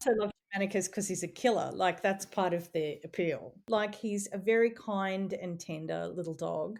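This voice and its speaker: A woman with an Australian accent speaks in a medium pitch with ordinary pitch variation, on a very clean recording with a silent background. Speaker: playwright and columnist. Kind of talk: interview. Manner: casual, with fillers.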